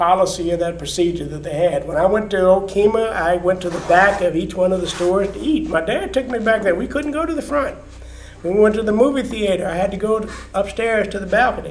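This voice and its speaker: A man with an American accent talks at a very fast pace and a high pitch. His pitch varies in an ordinary way, and background noise is noticeable. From Oklahoma. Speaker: retired agricultural economist. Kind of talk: oral history interview answer.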